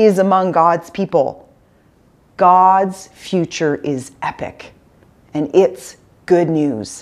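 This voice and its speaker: This woman talks at a very slow pace. Her pitch sits fairly low. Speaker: pastor. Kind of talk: call to worship and greeting. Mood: warm, solemn. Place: studio. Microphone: lapel.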